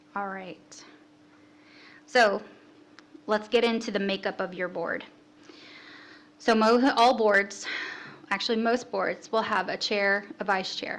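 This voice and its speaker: At a fairly slow pace, a woman of medium pitch speaks with fairly even intonation and long, frequent pauses. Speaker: city staff presenter. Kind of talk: orientation presentation.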